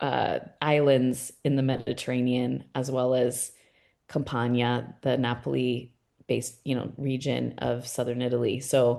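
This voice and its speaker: With an American accent, the voice has a dark, mellow tone and a monotone, flat intonation. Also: woman, quiet background. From California, US. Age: 40s. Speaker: art gallery owner. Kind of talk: casual interview conversation.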